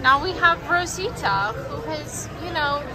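Amid crowd noise in the background, a woman speaks at a fairly slow pace. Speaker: vlogger. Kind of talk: casual vlog chat. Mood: playful, excited. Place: cafe. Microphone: phone near.

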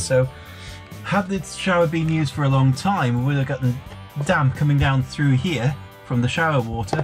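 Clear music plays in the background as a man talks at a moderate pace with ordinary pitch variation. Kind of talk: tutorial. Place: bathroom. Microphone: phone near.

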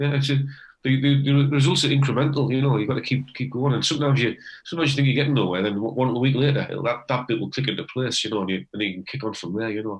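A man with a Teesside accent talks at a very fast pace in a somewhat breathy voice. His pitch is medium with ordinary variation. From northeast England, Teesside. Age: 60s. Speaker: retired electrician, amateur harmonica player. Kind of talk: casual interview.

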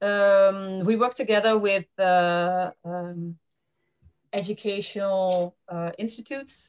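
With intonation that stays fairly even, a woman talks very slowly in a quiet setting. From Netherlands. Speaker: webinar host. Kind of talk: presentation. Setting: web seminar. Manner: halting. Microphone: video call.

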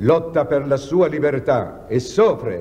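Speaking at a very slow pace, the voice has a dark, mellow tone, vocal fry and lively intonation. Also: man. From Italy. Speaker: president of the republic giving a year-end address. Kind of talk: formal year-end address to the nation. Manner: firm, earnest. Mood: earnest, indignant at times. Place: hall.

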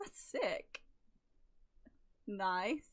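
Her pitch swinging very widely, a woman speaks in an English accent. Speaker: YouTuber opening trading cards. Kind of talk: casual unboxing commentary. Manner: low-key, little reaction.

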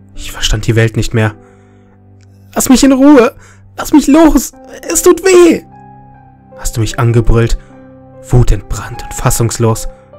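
A man at a fairly slow pace, with long, frequent pauses, big swings in loudness and music in the background. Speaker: creepypasta narrator. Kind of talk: horror story narration.

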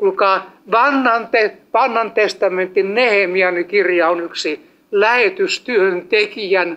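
A man's high, bright, sharp voice at a very slow pace. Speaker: evangelist preacher. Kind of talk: sermon. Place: hall.

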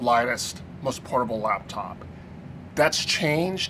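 Against noticeable background noise, a man speaks at a moderate pace with lively intonation. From Philippines. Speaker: tech journalist. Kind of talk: live stream unboxing and review. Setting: office desk, live stream.

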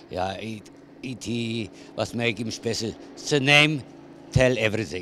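Speaking at a fairly slow pace with long, frequent pauses, a voice with an Austrian accent shows ordinary pitch variation, with a dry sound with no echo and light background noise. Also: man. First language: German. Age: 70s. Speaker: show jumper. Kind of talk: interview answer. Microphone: handheld.

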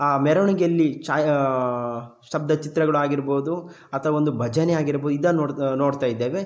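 This man's voice sits fairly high. The intonation holds fairly even. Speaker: resource person, radio voice artist. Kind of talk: discussion guest speaking. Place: studio. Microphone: lapel.

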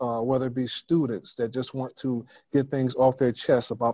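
Against a quiet background, a man talks at a fairly quick pace in a dry sound with no echo. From US Northeast (Brooklyn, New York). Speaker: church elder and author. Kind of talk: interview. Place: home room. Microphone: video call.

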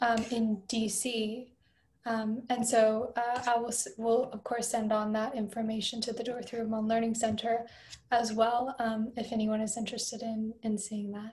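A woman speaks in a fairly high voice. Her intonation is monotone and flat. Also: moderate pace. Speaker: presenter. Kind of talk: online presentation. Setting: video call. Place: home room. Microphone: video call.

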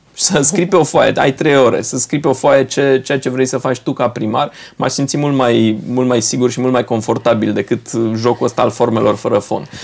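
A man speaks in an unremarkable speaking voice at medium pitch, with a moderate pace and ordinary pitch variation. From Romania, Brașov; Romania. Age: 40s. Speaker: politician. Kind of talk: TV interview. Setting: studio. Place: studio.

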